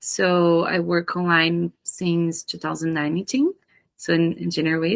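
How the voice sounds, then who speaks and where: A woman speaks with a fairly low pitch, and the sound is dry and close with no echo. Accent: Brazilian. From Brazil. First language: Portuguese. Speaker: psychotherapist. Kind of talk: casual chat.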